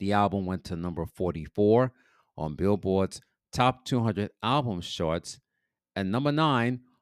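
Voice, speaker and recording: In an American accent and a normal speaking voice, a man talks at a fairly slow pace in a fairly low pitch with lively intonation, the sound dry and close with no echo on a very clean recording with a silent background. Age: 50s. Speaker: podcast DJ and music history host. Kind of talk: solo podcast monologue on music history.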